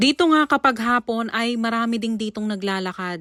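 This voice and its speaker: A plain, everyday voice from a woman, fairly high in pitch, at a moderate pace, on a very clean recording with a silent background. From Philippines, Taguig City. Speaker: vlogger and mother. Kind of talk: vlog narration.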